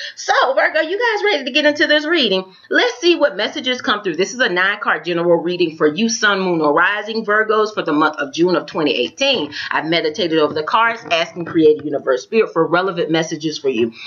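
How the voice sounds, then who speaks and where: Over noticeable background noise, a woman with an American accent races along at a very fast pace with hardly any pauses, her medium pitch making very wide swings. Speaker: tarot reader. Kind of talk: tarot reading.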